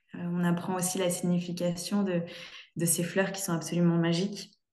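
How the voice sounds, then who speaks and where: Her voice fairly low in pitch, a woman talks at a fairly slow pace in audible room echo. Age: 20s. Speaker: interior designer. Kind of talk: testimony. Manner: halting. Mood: warm, grateful. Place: home room. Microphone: video call.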